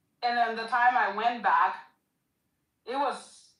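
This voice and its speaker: Amid audible room echo, a woman speaks at a fairly high pitch with fairly even intonation. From Ethiopia, Gambella region (Itang). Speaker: caller. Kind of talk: call-in discussion. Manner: halting.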